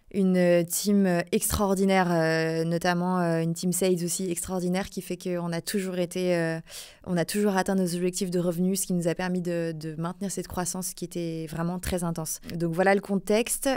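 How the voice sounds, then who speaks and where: A woman's fairly low, dark, mellow voice at a moderate pace, flat and monotone, on a very clean recording with a silent background. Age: 30s. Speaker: recruitment consultant. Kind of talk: podcast interview. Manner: hesitant, many fillers.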